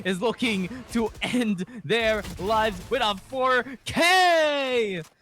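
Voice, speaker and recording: Over music in the background, a man speaks in a raised, projected voice with an excited tone. His intonation is lively. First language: Filipino (Tagalog). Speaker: esports caster. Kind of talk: live commentary.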